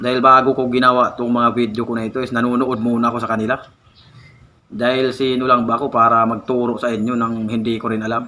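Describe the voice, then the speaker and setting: A man's monotone, flat delivery at a medium pitch and a very fast pace. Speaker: content creator giving tips. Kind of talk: vlog monologue.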